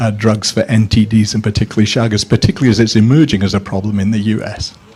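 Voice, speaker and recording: A man's somewhat breathy voice at medium pitch. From Scotland. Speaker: academic, audience questioner. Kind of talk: conference Q&A question.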